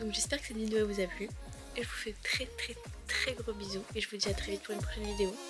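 Clear music plays in the background. Over it, a woman speaks at a very fast pace. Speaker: vlogger. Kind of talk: casual vlog chat.

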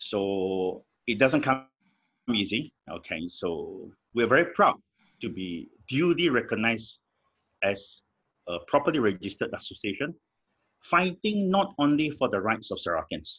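This man talks at a moderate pace, with long, frequent pauses and vocal fry. The background is quiet. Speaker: guest, lawyer. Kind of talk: interview answer. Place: home room. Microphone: video call.

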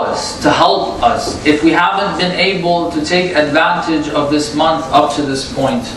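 A man speaks at a fairly slow pace over noticeable background noise, with audible room echo. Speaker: religious lecturer. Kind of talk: sermon.

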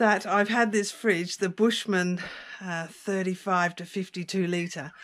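This woman speaks at a very slow pace. The background is quiet. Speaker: van dweller vlogger. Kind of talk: casual vlog chat. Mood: amused, self-deprecating. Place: home room. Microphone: phone near.

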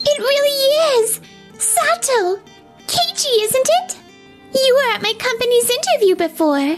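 Over clear music in the background, a woman uses a put-on character voice at an extremely high pitch and a moderate pace. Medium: fan dub. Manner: warm, casual.

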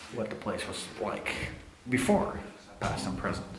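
Moderate-paced speech from a man amid noticeable background noise. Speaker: urban explorer vlogger. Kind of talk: casual vlog chat. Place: empty room. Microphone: phone near.

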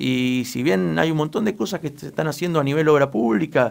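At a fairly quick clip, a man talks in an unremarkable speaking voice. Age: 20s. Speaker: local political candidate. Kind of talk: radio interview. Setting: radio studio.

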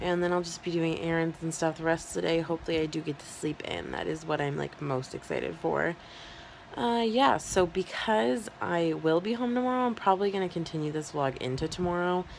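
Over light background noise, a woman with a fairly low pitch speaks in a normal speaking voice with lively intonation. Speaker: vlogger. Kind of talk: casual vlog chat. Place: home room. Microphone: phone near.

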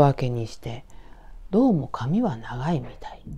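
A woman speaks at a fairly slow pace in a calm, dark, mellow tone that is somewhat breathy. Her pitch swings very widely, and the background is quiet. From Tokyo, Hachioji; Tokyo. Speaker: horror storyteller. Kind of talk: storytelling. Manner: calm, conversational.

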